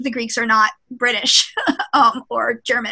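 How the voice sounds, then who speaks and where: Bright and sharp in tone, this woman's voice comes through. It sits high in pitch. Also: quiet background. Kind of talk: lecture. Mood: lively, sometimes laughing. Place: office.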